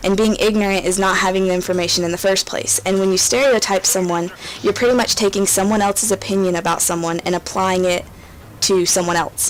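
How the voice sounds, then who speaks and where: With an American accent, a woman speaks at a very fast pace and medium pitch in a monotone, flat intonation, her loudness very even, over noticeable background noise. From rural US. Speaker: gaming YouTuber. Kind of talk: commentary over gameplay. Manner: hesitant, many fillers.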